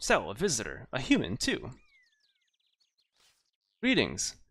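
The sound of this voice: Putting on a squeaky character voice, a man speaks at a moderate pace.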